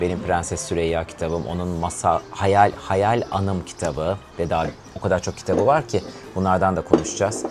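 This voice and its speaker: A man with a very deep, low pitch, ordinary pitch variation and moderate pace, over music in the background. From Turkey, Izmir. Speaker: home show host and singer. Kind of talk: casual chat.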